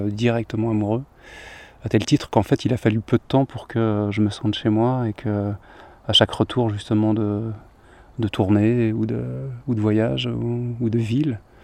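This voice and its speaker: Against a quiet background, a man at a medium pitch talks at a moderate pace with fairly even intonation, the sound dry and close with no echo. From Paris region, Seine-Saint-Denis. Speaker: singer-songwriter. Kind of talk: casual chat. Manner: calm, contemplative; halting.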